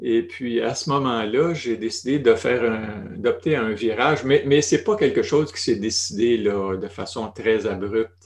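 A man speaks with a Quebec accent. He hardly pauses at all. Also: fairly slow pace. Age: 60s. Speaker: retired family doctor. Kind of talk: interview conversation.

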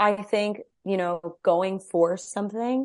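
In a plain, everyday voice, a woman with an American accent speaks at medium pitch with ordinary pitch variation against a quiet background. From New Mexico, US. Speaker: actress and podcaster. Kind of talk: casual chat.

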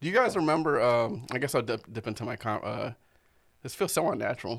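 On a very clean recording with a silent background, a man with an American accent talks very fast at a medium pitch, with vocal fry. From Arizona (Tucson). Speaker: comedian podcast host. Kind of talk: casual chat.

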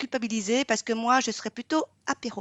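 In an ordinary speaking voice, a woman speaks at a moderate pace with a fairly high pitch and fairly even intonation. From Vietnam. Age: 40s. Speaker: pastry podcast co-host, baking show contestant. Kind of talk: casual chat.

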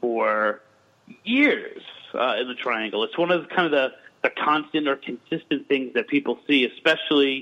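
A man with a normal speaking voice, fairly high pitch, ordinary pitch variation and a moderate pace. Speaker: folklorist and paranormal investigator. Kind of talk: casual interview chat. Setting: remote call.

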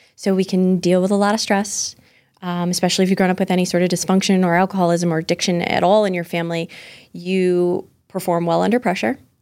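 In a very clean recording with a silent background, a woman speaks very fast with an American accent. Her medium-pitched voice is monotone and flat, with very even loudness. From Massachusetts, US. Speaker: business coach. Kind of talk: casual interview chat. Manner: warm, comforting tone.

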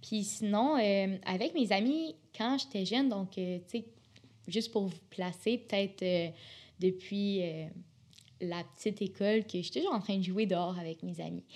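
A woman speaks at medium pitch with ordinary pitch variation. Her pace is fairly slow, with long, frequent pauses. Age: 20s. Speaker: university student. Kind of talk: casual interview. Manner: animated.

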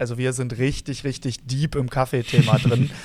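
Monotone, flat speech from a man at a medium pitch. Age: 30s. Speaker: barista, podcast co-host. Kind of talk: casual chat. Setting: remote recording.

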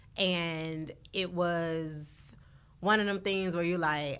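A woman with a medium-pitched voice and ordinary pitch variation talks at a very slow pace. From US South, northeast Florida. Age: 40s. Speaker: bakery owner. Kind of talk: casual chat.

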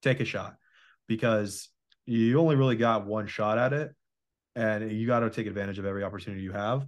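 Against a quiet background, a man of medium pitch talks at a very fast pace with fairly even intonation. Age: 20s. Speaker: podcast host. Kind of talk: casual chat.

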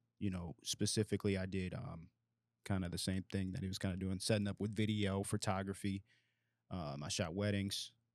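An unremarkable speaking voice from a man, fairly low in pitch and fairly quick, with fairly even intonation, in a very clean, dry, close recording with a silent background and no echo. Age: 20s. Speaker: insurance agency owner. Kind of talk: casual chat.

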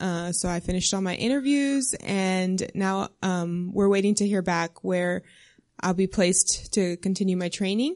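Here is a woman with a plain, everyday voice and an American accent, at medium pitch with ordinary pitch variation. Her pace is moderate, and the background is quiet. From South Texas. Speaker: missionary and new doctor. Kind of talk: interview testimony in church.

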